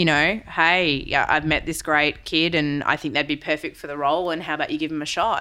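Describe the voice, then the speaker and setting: In a very clean recording with a silent background, a woman with a very deep, low pitch and an Australian accent speaks with fairly even intonation and hardly any pauses. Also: fairly quick pace. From Western Australia. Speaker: CEO and keynote speaker. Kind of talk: interview.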